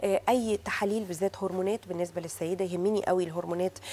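A woman talks fairly quickly, her intonation fairly even. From Egypt. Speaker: fertility doctor. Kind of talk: TV talk show interview. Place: studio.

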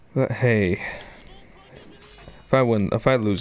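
This man's pitch varies in an ordinary way. Music can be heard behind him. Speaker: gaming streamer. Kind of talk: gameplay commentary. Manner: sounds angry; animated.

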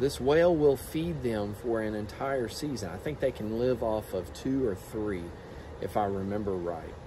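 A man speaks at a moderate pace with lively intonation, and noticeable background noise is present. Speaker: teacher. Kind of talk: book talk to students. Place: garden. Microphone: phone near.

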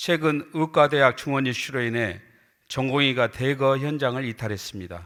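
A man's unremarkable speaking voice at medium pitch, ordinary pitch variation and a moderate pace in a very clean recording with a silent background. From Hwasun, South Jeolla, Korea. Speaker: provincial council member. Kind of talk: formal council speech. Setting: council chamber with audience. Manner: formal.

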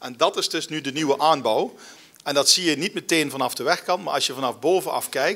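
Ordinary pitch variation carries speech delivered at a very fast pace. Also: man. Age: 40s. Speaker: local government alderman; guest. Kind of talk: interview. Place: stage. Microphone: podium.

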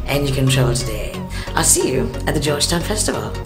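Clear music plays behind a woman as she talks. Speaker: radio traffic presenter; traveller and public speaker. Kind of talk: promotional invitation to camera. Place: home room. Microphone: webcam.

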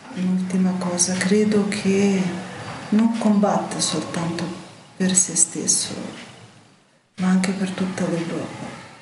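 With a Ukrainian accent, a woman speaks very slowly at a medium pitch in monotone, flat intonation, with long, frequent pauses and noticeable background noise. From Ukraine. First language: Ukrainian (speaking Italian). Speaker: Ukrainian resident interviewee; interviewee. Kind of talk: emotional testimony. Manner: faint, choked voice. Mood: serious, worried. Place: studio.

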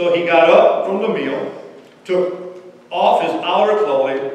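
With strong room echo around him, a man talks at a fairly slow pace in a fairly high pitch.

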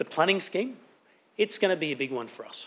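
With light background noise, a man in an Australian accent speaks with ordinary pitch variation. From Sunshine Coast hinterland, Queensland, Australia; Queensland, Australia. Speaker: local councillor. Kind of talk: formal speech. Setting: council chamber. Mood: earnest, committed. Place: hall.

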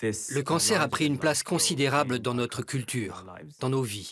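The recording of a man is dry with no echo but carries noticeable background noise. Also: ordinary pitch variation, moderate pace. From France. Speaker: voice actor. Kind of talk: documentary narration. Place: booth. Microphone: studio mic.

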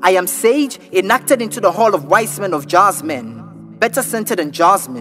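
Music plays in the background as a man talks at a moderate pace with hardly any pauses. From Ghana. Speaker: spoken word poet. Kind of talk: spoken word poetry over a beat.

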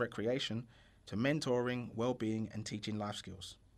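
Talking at a fairly quick pace, a man with an ordinary speaking voice keeps a medium pitch and fairly even intonation. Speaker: charity founder. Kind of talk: promotional voice-over.

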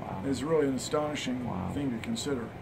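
There is noticeable background noise. A man talks over it with fairly even intonation. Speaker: interviewee. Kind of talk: interview answer. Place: office. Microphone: handheld.

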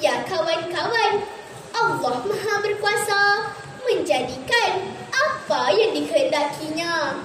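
A woman speaks at a very slow pace with an extremely high pitch. Audible room echo and noticeable background noise surround her. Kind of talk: dramatic storytelling performance. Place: hall.

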